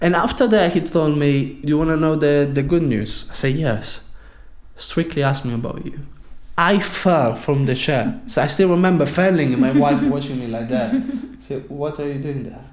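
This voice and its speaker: Lively intonation with an Italian accent. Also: man, fairly high pitch for a man, moderate pace. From Sicily, Italy. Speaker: professional dancer. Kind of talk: podcast interview answer.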